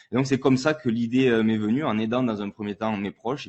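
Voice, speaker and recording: A man with a southern French accent, fairly quick in pace and fairly even in intonation. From southern France. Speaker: entrepreneur, former pro rugby player. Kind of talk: panel conference talk.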